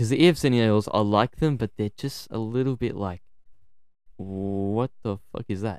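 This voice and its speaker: A man with an Australian accent talks at a moderate pace, his fairly low pitch showing ordinary variation. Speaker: podcast co-host. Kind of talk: casual chat.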